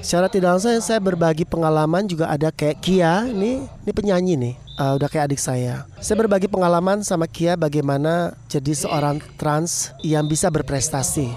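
A woman talks in an ordinary speaking voice with ordinary pitch variation. Her loudness stays very even, and she takes hardly any pauses. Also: fairly low pitch for a woman, moderate pace. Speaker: former badminton athlete and volleyball club figure. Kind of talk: casual interview. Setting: outdoors at volleyball court at night.

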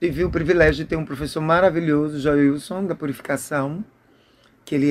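A man speaks with fairly even intonation. His pitch is fairly high. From Brazil, Maceió, Alagoas. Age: 50s. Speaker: dancer and dance teacher. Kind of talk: interview. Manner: halting.

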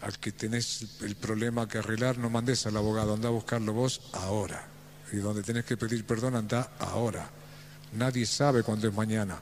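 A man's voice sits at a medium pitch, monotone and flat in intonation, moving at a moderate pace. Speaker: inspirational speaker. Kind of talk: motivational talk.

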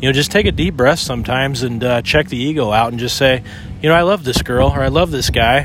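With noticeable background noise behind him, a man talks at a very fast pace, his medium pitch showing ordinary variation. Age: 50s. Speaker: podcast co-host. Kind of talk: casual chat. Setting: outdoors on a beach.

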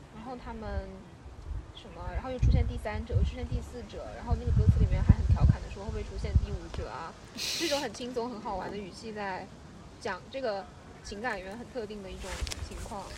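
Noticeable background noise is present. A woman talks at a fairly quick pace. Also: big swings in loudness. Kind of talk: casual chat. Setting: outdoors on a playground climbing frame. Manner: animated, joking.

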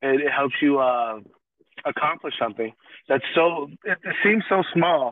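Here is a man with an American accent and a normal speaking voice. He talks fairly slowly at a fairly high pitch with lively intonation. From Los Angeles, California (Pasadena). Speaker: media founder, filmmaker and photographer. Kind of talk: casual interview chat.

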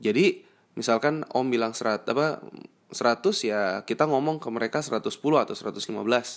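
Speaking at a fairly slow pace, a man with a medium-pitched voice and ordinary pitch variation is heard on a very clean recording with a silent background. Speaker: entrepreneur and community founder. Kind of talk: motivational monologue. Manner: animated.

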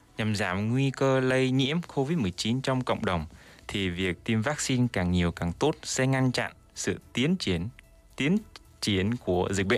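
Over background music, a man speaks at a fairly slow pace and medium pitch, his intonation lively and his loudness very even. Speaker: student and radio segment presenter. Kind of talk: radio news segment.

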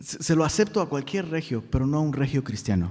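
The tone is animated. The pace is fairly quick. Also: man. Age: 40s. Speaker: pastor. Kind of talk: sermon.

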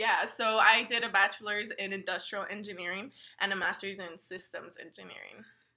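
A woman's bright, sharp voice with an American accent at a moderate pace. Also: medium pitch for a woman, big swings in loudness. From El Paso, Texas. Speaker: engineer in customer facing tech role. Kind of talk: casual interview.

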